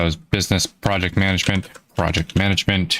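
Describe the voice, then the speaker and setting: With an American accent, a man speaks in a very deep, low voice. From Florida. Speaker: indie game developer streamer. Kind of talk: live stream casual chat.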